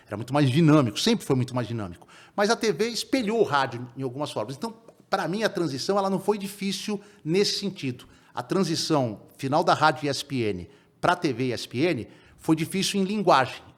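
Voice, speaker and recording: Very wide pitch swings in a man's fairly high-pitched voice. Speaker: sports reporter. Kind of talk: podcast interview. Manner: fast.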